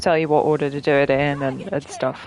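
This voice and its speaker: A woman talks at a moderate pace with an English accent. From England. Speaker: video game streamer. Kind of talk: casual gameplay commentary. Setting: live stream.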